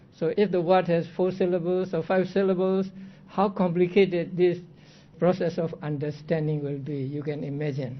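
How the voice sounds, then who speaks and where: A man's high voice with a non-native accent, at a moderate pace and with fairly even intonation. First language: not English. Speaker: Buddhist monk teaching Abhidhamma. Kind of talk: lecture.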